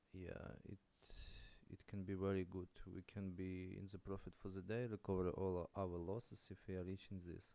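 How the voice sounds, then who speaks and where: A man speaks at a moderate pace with a non-native accent, his pitch very deep and low. His tone is dark and mellow, and his intonation stays monotone and flat. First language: not English. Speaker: day trader streamer. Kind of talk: live trading commentary. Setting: live stream. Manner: halting.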